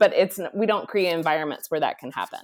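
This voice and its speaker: A plain, everyday voice with an American accent. The intonation is lively. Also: woman. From Texas, Dallas. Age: 40s. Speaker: retreat center leader, former ministry executive. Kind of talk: podcast interview.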